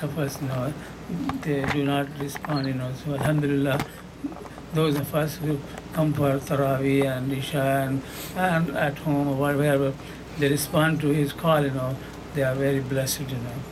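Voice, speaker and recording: A man's monotone, flat delivery with long, frequent pauses, against noticeable background noise. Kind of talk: sermon. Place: church. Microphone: handheld.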